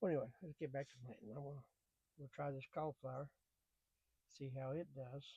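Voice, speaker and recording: A man's fairly high, somewhat breathy voice in a dark, mellow, relaxed tone, fairly quick with long, frequent pauses, fairly even intonation and big swings in loudness, in a dry, close sound with no echo. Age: 70s. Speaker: gardening YouTuber. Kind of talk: casual gardening tutorial. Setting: greenhouse. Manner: halting, repeats words; relaxed, folksy.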